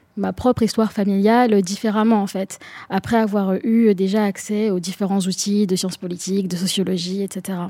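At a fairly slow pace, a woman speaks with a medium pitch. Her tone is dark and mellow, her intonation fairly even. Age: 20s. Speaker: young political activist. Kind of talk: panel discussion.

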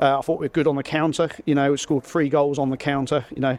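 A very fast pace amid noticeable background noise. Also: man. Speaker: football coach. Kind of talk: post-match interview.

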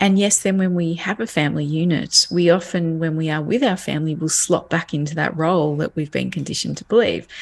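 Talking at a fairly quick pace with hardly any pauses, a woman speaks at a fairly low pitch. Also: ordinary pitch variation. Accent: Australian. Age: 40s. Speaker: parenting educator. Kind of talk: interview.

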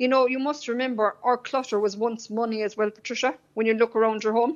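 Speaking at a fairly quick pace, a woman has a fairly high pitch and fairly even intonation. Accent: Cork. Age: 40s. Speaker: decluttering consultant. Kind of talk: radio interview.

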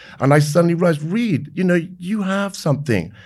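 Lively intonation marks a man with a southern English accent talking at a fairly quick pace on a very clean recording with a silent background. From England, Maidenhead (Berkshire). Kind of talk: interview.

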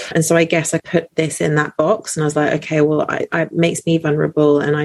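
A speaker with a British accent talks very fast in a dry, close recording with no echo. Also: woman. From UK, British-born Chinese. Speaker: doctor. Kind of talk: casual chat.

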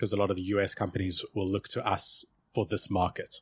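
Somewhat breathy speech at a fairly quick pace, with a dry, close sound with no echo and a very clean recording over a silent background. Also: man. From South Africa. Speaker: sales outsourcing company CEO. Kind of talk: casual interview.

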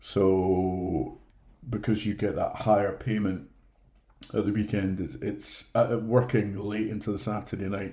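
A man with a Scottish accent talks at a fairly slow pace in a fairly low, somewhat breathy voice with a dark, mellow tone and fairly even intonation. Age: 40s. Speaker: theatre flyman and guest. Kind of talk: casual interview, storytelling.

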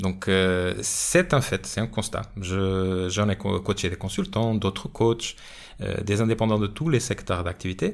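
A man speaks with a Portuguese accent and ordinary pitch variation. His pace is very slow. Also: fairly low pitch for a man. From Portugal. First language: Portuguese (speaking French). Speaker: sales coach and podcast host. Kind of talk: solo podcast monologue. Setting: studio. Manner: hesitant, many fillers.

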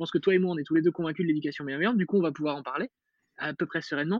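A man talks here. He varies his pitch in an ordinary way. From Metz, northeastern France. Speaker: parenting author and podcaster. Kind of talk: casual interview.

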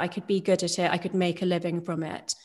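A woman with a British accent talks over a quiet background. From UK. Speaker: neuroscientist and doctor. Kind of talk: interview. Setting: video call.

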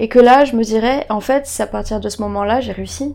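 A woman's fairly high voice. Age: 20s. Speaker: guest sharing experience of depression. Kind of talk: testimony. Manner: halting.

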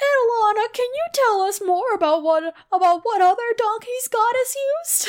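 A woman uses a put-on character voice at an extremely high pitch. She keeps a moderate pace. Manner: cheesy cartoon voice acting.

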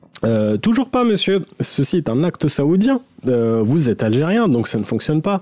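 A man's fairly high voice with very wide pitch swings, at a fairly slow pace over noticeable background noise. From Saudi Arabia (Algerian family). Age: 30s. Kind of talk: personal story.

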